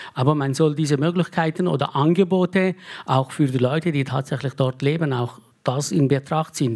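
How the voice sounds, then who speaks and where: This man's voice sits fairly high in pitch. His pitch moves in an ordinary way as he talks at a moderate pace. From Turkey. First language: Turkish or Kurdish (speaking German). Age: 50s. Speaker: politician. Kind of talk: panel debate. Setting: stage with audience.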